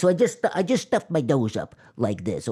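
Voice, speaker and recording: A put-on character voice, nasal and at a middle pitch, moves in very wide pitch swings. It keeps a moderate pace on a very clean recording with a silent background. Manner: demonstrating a voice archetype.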